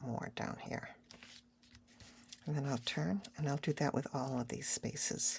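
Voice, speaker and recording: Her very deep, low voice has vocal fry, and the woman leaves long, frequent pauses. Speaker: art tutorial creator. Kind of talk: tutorial. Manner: casual.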